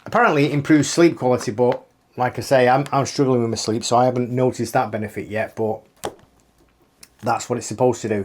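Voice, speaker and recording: Speaking very fast with a British accent, a man keeps a medium pitch and fairly even intonation. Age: 50s. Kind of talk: casual talk to camera.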